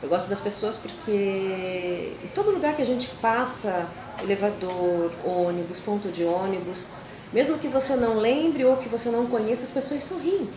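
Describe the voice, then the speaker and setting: At a fairly slow pace, a woman speaks at a medium pitch with lively intonation, amid audible room echo and noticeable background noise. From Paraná, Brazil (Paranaguá). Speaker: local resident interviewee. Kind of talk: interview testimony.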